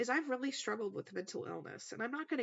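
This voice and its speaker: A woman is speaking. Her voice has vocal fry. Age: 30s. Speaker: podcast host. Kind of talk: personal testimony.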